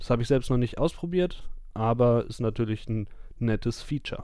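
With a dark, mellow tone and medium pitch, a man speaks at a fairly quick pace using fairly even intonation. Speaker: darts podcast host. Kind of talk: tutorial. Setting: recording in bed at home.

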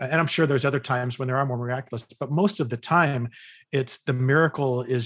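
Talking at a fairly quick pace, a man with an American accent and medium pitch has a plain, everyday voice. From California. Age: 50s. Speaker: psychologist and author. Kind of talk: interview conversation.

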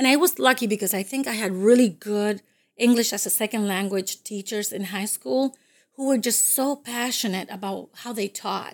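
The recording is very clean, with a silent background. A woman with a Spanish accent speaks at medium pitch and a moderate pace, with ordinary pitch variation. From Dominican Republic. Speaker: college career services coordinator. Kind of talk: interview.

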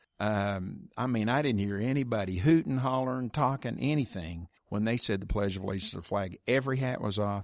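A man with an American accent talks at a fairly quick pace, with hardly any pauses, against a quiet background. His voice is fairly low, with ordinary pitch variation. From Oklahoma. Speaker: podcast host and reporter, former teacher. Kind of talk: interview conversation.

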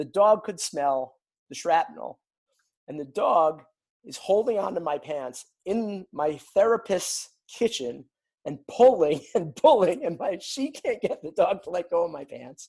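Speaking at a fairly slow pace with an American accent, a man uses a high pitch and lively intonation, his loudness swinging widely. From New York. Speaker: television writer. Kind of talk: storytelling interview.

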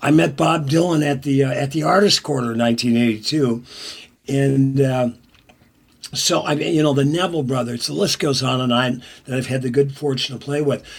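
A man with an American accent and an unremarkable speaking voice talks at a moderate pace, his medium pitch showing ordinary variation. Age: 60s. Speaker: songwriter and musician. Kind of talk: casual interview.

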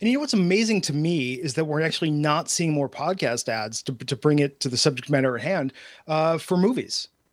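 A man with an American accent talks in a normal speaking voice, fairly high-pitched and at a fairly quick pace. His intonation is lively, and the recording is very clean with a silent background. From US Midwest and California. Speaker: podcast advertising executive and author. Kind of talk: casual chat.

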